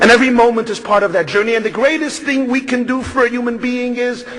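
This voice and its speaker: Amid noticeable background noise, a man speaks with an extremely high pitch and fairly even intonation. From US Northeast, Brooklyn New York. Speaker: rabbi and speaker. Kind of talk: speech.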